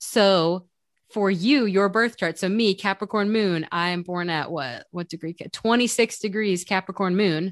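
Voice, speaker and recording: Against a quiet background, a woman with an unremarkable speaking voice talks fairly slowly at a medium pitch with ordinary pitch variation, in a dry, close sound with no echo. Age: 30s. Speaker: podcast host, astrology. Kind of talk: casual chat.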